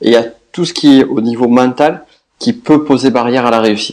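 A man with a southwestern French accent speaks at a medium pitch. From southwest France. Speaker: business coach. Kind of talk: podcast interview.

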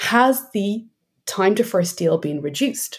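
A woman speaks with an Irish accent. Her pace is fairly slow. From Ireland. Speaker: sales enablement executive. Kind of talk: interview conversation.

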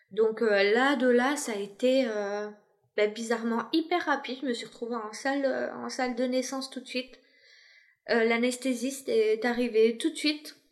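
Her voice is high in pitch, and she moves at a moderate pace with fairly even intonation. The woman leaves long, frequent pauses. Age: 30s. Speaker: mother sharing her family story. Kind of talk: personal testimony interview.

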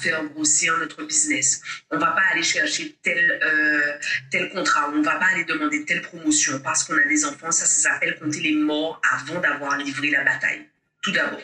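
A woman's fairly quick speech at a very even loudness. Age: 40s. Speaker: mindset coach and public speaker. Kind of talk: interview. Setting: at home.

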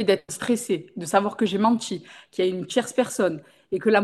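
A woman with a plain, everyday voice talks at a medium pitch and moderate pace over a quiet background. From Marseille, southern France. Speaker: makeup artist and training school owner. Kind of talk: podcast interview.

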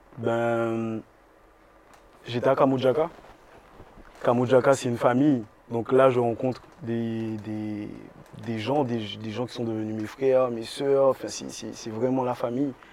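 The speech is monotone and flat, delivered at a very slow pace with long, frequent pauses, big swings in loudness and noticeable background noise. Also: man, medium pitch for a man. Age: 20s. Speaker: singer. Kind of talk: interview. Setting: bookstore cultural space.

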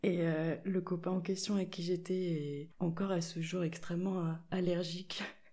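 A woman speaks at a fairly slow pace in a fairly low, somewhat breathy voice with a dark, mellow tone and monotone, flat intonation, with audible room echo around her. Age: 20s. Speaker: linocut printmaker. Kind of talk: casual chat. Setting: in-person recording in an echoey room.

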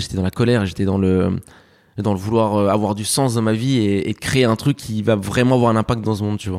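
Recorded dry and close with no echo, a man talks very fast in a fairly low voice. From France, raised from age 7 after birth in Spain. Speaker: media founder and journalist. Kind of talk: interview. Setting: office. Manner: animated.

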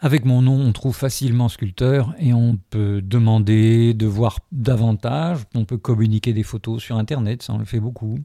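Recorded very cleanly over a silent background with a dry, close sound and no echo, a man with a dark, mellow, medium-pitched tone talks at a fairly slow pace, with ordinary pitch variation and hardly any pauses. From Algeria, moved to France in 1963. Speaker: sculptor. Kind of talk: reflective interview. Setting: his gallery-workshop.

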